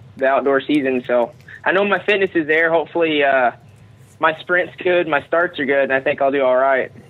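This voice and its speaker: Speaking with an American accent, a man uses a fairly high pitch and fairly even intonation. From Texas. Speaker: motocross racer. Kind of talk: casual chat. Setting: phone call.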